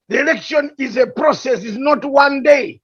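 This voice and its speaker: A man with a strong Ugandan accent at an extremely high pitch and a fairly slow pace. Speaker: political commentator. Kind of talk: heated debate. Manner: animated.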